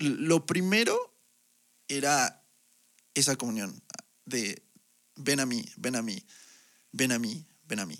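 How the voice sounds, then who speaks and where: Speaking at a very slow pace, a man leaves long, frequent pauses. His fairly high pitch moves in very wide swings. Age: 20s. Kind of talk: testimony. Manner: halting, with frequent repetitions.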